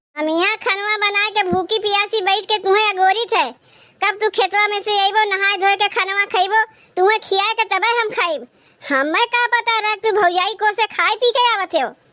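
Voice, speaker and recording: A woman uses a squeaky, cartoonish character voice at an extremely high pitch, with fairly even intonation, very even loudness and a moderate pace. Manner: sharp, scolding.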